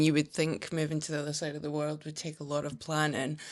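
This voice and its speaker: A woman speaks in a Scottish accent. Her pitch is very deep and low, and the background is quiet. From Scotland. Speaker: brand strategist. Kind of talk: podcast interview.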